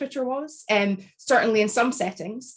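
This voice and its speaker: With a Scottish accent, a woman speaks at a fairly high pitch and with fairly even intonation. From Scotland. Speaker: academic author. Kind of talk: book launch panel talk. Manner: measured, articulate.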